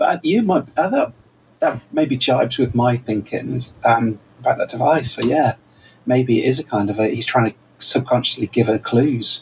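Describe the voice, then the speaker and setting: A somewhat breathy man talks at a medium pitch, his pitch varying in an ordinary way. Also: moderate pace. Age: 40s. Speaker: podcast co-host. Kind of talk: casual chat. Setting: remote over the internet. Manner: animated.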